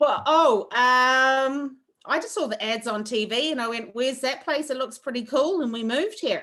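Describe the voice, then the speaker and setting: A woman speaks in a raised, projected voice with a strong New Zealand accent. Her tone is bright and sharp, her pitch is high, and her pitch variation is ordinary. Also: moderate pace. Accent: thick New Zealand. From New Zealand, Wairoa. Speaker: chef. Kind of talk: online cooking class chat. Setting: video call.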